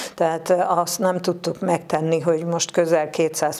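Speaking at a fairly slow pace, a woman with a fairly low pitch keeps a monotone, flat intonation. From Hungary. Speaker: retired teacher, club leader. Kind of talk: studio interview. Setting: TV studio. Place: studio. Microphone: lapel.

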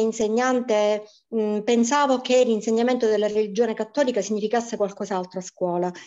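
A woman talks at a fairly high pitch with fairly even intonation. Her loudness stays very even. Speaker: primary school teacher. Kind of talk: testimony.

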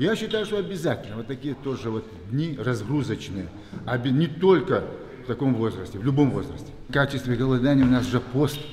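Room echo and light background noise can be heard as a man talks. His intonation is lively and his pace fairly quick. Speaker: boxing coach or athlete. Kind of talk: interview answer. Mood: earnest, friendly. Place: gym.

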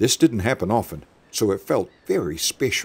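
A man talks at a fairly slow pace. His voice has vocal fry. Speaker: narrator. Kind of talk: animated story narration.

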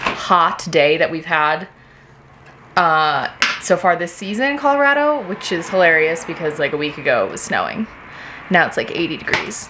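A woman's fairly low voice at a moderate pace, with noticeable background noise behind it. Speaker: renovation vlogger. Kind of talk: casual vlog chat. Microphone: phone near.

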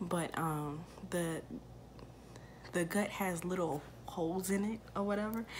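A woman speaks quietly at a fairly slow pace, with long, frequent pauses and a fairly low pitch. Her loudness is very even, her intonation fairly even, and light background noise sits behind her. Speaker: YouTuber, mother; YouTuber. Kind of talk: casual Q&A vlog. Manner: quiet, subdued speaking; hesitant, many fillers. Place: home room. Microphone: phone near.

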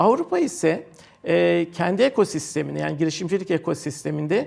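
A man speaks at a fairly quick pace in a fairly high voice with vocal fry. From Turkey, Istanbul. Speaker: professor and technology park director. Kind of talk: TV interview. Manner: hesitant, many fillers.

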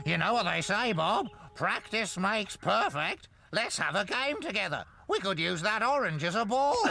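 A man puts on a cartoonish character voice, pitched high. He speaks at a moderate pace. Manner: cheeky, boastful, wheedling.

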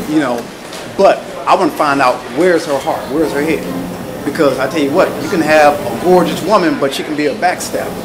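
Over noticeable background noise, a man speaks at a fairly quick pace. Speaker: audience member. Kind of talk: audience comment. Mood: earnest, persuasive. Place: hall. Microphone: handheld.

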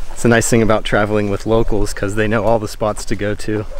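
A man speaks in a monotone, flat intonation, the sound dry with no echo and light background noise behind him. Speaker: travel vlogger. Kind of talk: casual vlog chat. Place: open country. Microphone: phone near.

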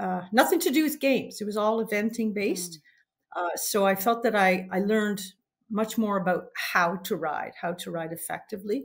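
An unremarkable speaking voice at a moderate pace with ordinary pitch variation. The background is quiet. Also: woman. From Canada. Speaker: mounted games competitor and referee trainer. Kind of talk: interview. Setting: call. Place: home room.

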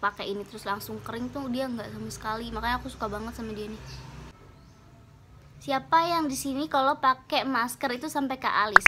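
The speech comes at a fairly quick pace with ordinary pitch variation and big swings in loudness. Loud background noise runs throughout. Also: woman, high pitch for a woman. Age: 20s. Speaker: beauty vlogger. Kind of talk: casual talk to camera. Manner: upbeat, chatty. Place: home room. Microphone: phone near.

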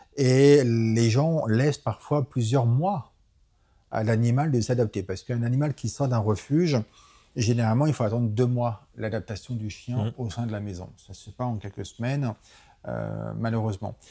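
An unremarkable speaking voice moves at a moderate pace with ordinary pitch variation and big swings in loudness. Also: man, medium pitch for a man. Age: 40s. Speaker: animal rights activist. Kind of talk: interview. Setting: association offices in a city.

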